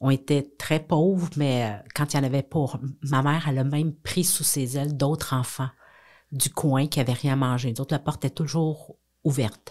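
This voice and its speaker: A woman speaks in a Quebec accent with a very deep, low pitch. Her pace is moderate and her intonation fairly even. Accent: Québécois French. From Quebec, south shore of Montreal. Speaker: businesswoman and philanthropist. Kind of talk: podcast interview. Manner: hesitant, many fillers.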